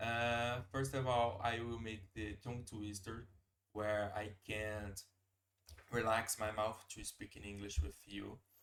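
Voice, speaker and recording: A man with a Portuguese accent speaks at a fairly slow pace. His pitch is medium, with fairly even intonation. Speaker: language learner streamer. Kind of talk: live stream language practice. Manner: halting, hesitant.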